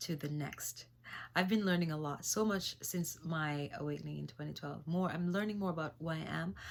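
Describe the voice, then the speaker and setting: A woman speaks with a slight Jamaican accent, her fairly low voice moving at a moderate pace with lively intonation. The recording is very clean, with a silent background. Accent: slight Jamaican patois. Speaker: singer-songwriter and spiritual vlogger. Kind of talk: spiritual talk vlog. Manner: halting, many fillers.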